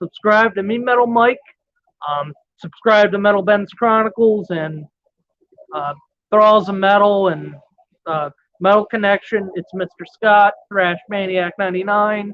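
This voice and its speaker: This man has a high-pitched voice. He talks at a fairly slow pace. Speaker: metal music YouTuber. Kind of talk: casual vlog monologue. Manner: energetic, profane.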